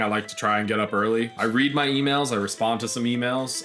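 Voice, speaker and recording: Talking at a very fast pace in an American accent, a man keeps fairly even intonation over noticeable background noise. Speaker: content creator. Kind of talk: casual chat.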